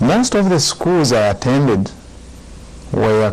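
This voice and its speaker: Noticeable background noise sits behind a man's voice. He speaks at a very slow pace with very wide pitch swings. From Uganda. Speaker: Buddhist monk. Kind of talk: dharma talk.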